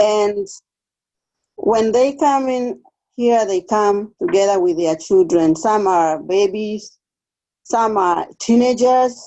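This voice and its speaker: A woman's fairly high voice with an East African accent, very slow pace, lively intonation and long, frequent pauses. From Kenya. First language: Swahili. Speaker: refugee case aide. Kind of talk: interview.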